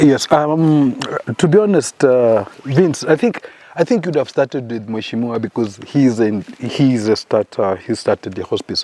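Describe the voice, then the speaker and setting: Noticeable background noise sits behind a man who speaks at a moderate pace and medium pitch with lively intonation, his sound dry and close with no echo. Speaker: hospice director, former navy. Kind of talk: casual podcast conversation. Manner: hesitant, repeats words.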